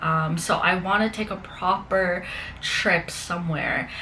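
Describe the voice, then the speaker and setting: A woman speaks at a fairly slow pace with a Canadian accent and a medium pitch. Noticeable background noise and audible room echo fill the recording. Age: 20s. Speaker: fitness and lifestyle vlogger. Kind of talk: casual vlog talk to camera. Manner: conversational with fillers.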